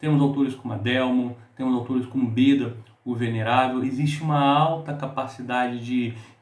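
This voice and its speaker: Delivered at a moderate pace, the speech is monotone and flat, with audible room echo. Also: man. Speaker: book reviewer. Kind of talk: book review monologue.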